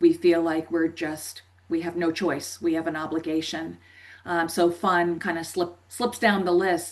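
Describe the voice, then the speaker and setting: A woman with an American accent speaks at a fairly slow pace in a fairly low pitch, in an ordinary speaking voice. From US Northeast, New Jersey. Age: 50s. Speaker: life coach. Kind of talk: podcast interview.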